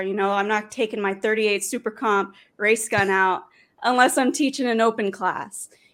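This recording is very clean and its background silent. The voice belongs to a woman. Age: 20s. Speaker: professional sport shooter and firearms instructor. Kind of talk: casual interview.

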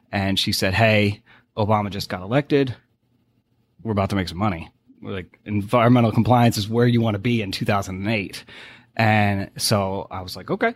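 Speech comes at a fairly quick pace in a Boston accent, with fairly even intonation. The recording is very clean, with a silent background. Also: man, fairly low pitch for a man. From New England (Boston). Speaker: oil and gas deal finder. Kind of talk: casual interview.

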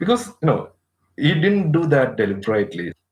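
With vocal fry and very wide pitch swings, a man speaks at a fairly high pitch. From Kerala, India. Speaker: nurse. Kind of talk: interview, personal testimony.

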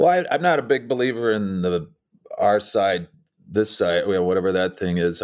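In an American accent, a man talks at a fairly quick pace with a very deep, low pitch. The recording is very clean, with a silent background. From Minnesota, rural. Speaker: political campaign strategist. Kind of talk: interview.

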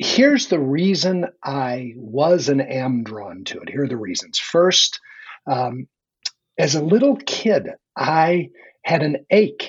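Lively intonation marks speech that has a somewhat breathy quality. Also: man. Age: 60s. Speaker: leadership coach and author. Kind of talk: conversational interview.

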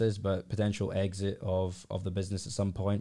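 A man's fairly low voice with a dark, mellow tone, at a moderate pace, on a very clean recording with a silent background. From Scotland, Glasgow. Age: 20s. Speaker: entrepreneur. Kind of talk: casual chat.

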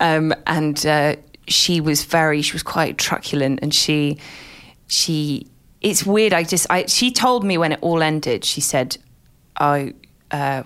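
A woman speaks with a southern English accent at a fairly slow pace. Her pitch is very deep and low, with ordinary variation. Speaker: journalist and author. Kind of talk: interview conversation.

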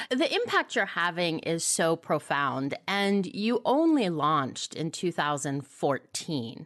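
A woman's fairly low voice with lively intonation, very slow yet with hardly any pauses. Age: 50s. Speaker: podcast host. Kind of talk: interview.

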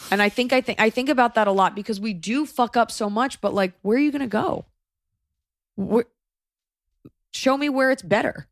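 A woman speaks in an animated tone at a fairly quick pace, with an American accent. The recording is very clean with a silent background and a dry, close sound with no echo. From United States. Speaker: podcast host. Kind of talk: casual chat.

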